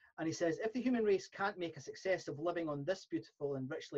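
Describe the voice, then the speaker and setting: Somewhat breathy, a man speaks with a Scottish accent over a quiet background. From Scotland. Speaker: podcast host. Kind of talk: interview. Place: home room. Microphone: studio mic.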